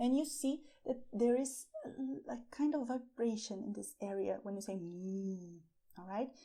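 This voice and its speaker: Speaking at a fairly slow pace with a Brazilian Portuguese accent, a woman uses a dark, mellow, fairly high voice with lively intonation and big swings in loudness. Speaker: language teacher. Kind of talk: tutorial. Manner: slow, deliberate.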